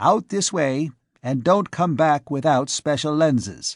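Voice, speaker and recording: Against a quiet background, a man uses a put-on character voice at a fairly high pitch and a fairly slow pace. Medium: read story. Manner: kindly, matter-of-fact.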